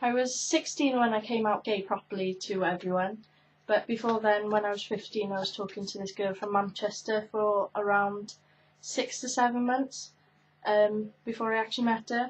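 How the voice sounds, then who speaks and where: With a Welsh accent, a woman speaks at a moderate pace. Her voice is somewhat breathy, and her intonation stays fairly even. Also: fairly high pitch for a woman. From Wales, Carmarthen. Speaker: YouTuber. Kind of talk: casual chat. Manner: hesitant, many fillers.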